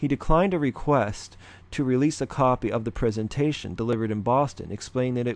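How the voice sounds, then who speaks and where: A man's medium-pitched voice at a fairly quick pace, with ordinary pitch variation and a quiet background. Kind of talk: reading a news article aloud. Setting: close to the microphone.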